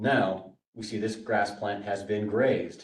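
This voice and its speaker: Somewhat breathy and fairly low-pitched, a man speaks at a moderate pace with audible room echo. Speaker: workshop presenter on grazing management. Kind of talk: workshop lecture.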